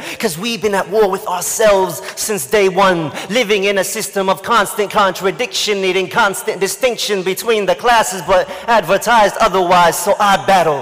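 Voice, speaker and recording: Over music in the background, a man with a high-pitched voice keeps a moderate pace, hardly any pauses and fairly even intonation. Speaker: spoken word poet. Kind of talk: spoken word poetry performance. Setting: live event stage.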